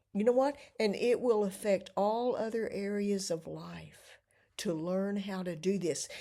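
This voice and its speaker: At a fairly slow pace, a woman speaks at medium pitch in a dark, mellow tone with ordinary pitch variation. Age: 70s. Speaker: vlogger. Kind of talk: casual monologue.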